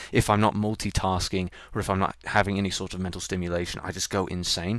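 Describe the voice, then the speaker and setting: In a very clean recording with a silent background, the voice runs at a very fast pace with monotone, flat intonation. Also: man, very deep, low pitch for a man. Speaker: streamer. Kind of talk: casual chat. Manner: halting.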